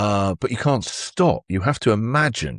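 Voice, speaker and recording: Against a quiet background, a man with a British accent speaks in a fairly low pitch with lively intonation, the sound dry and close with no echo. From England. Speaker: radio host. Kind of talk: interview answer.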